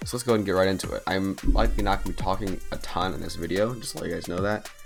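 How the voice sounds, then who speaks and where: Quiet and very fast, a man with a fairly low pitch and fairly even intonation talks over music in the background. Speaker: mobile game channel host. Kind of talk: gameplay tutorial commentary. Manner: quiet, low-energy.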